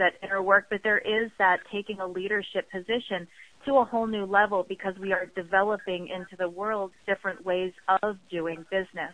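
A woman with an American accent speaks in a plain, everyday voice at a medium pitch and moderate pace. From US East Coast, Baltimore. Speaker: clairvoyant business coach. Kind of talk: interview.

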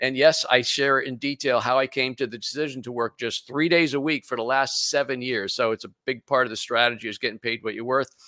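A man speaks at a medium pitch and a fairly quick pace, with fairly even intonation and a bright, sharp tone. The recording is very clean with a silent background and a dry, close sound with no echo. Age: 60s. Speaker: business coach and radio show host. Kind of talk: interview.

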